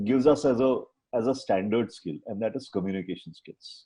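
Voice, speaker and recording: A man's dark, mellow tone comes at a fairly quick pace. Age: 60s. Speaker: doctor. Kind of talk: panel discussion.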